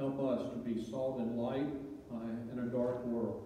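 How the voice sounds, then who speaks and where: Strong room echo and light background noise surround a man speaking at a fairly slow pace in a monotone, flat intonation. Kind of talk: public prayer. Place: church. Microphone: podium.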